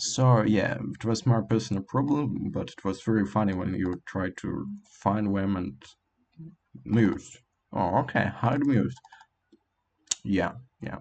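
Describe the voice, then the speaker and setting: Speaking with a non-native accent, a man uses lively intonation at a fairly low pitch. He leaves long, frequent pauses. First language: not English. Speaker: language learner vlogger. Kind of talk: casual monologue. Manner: halting, many fillers.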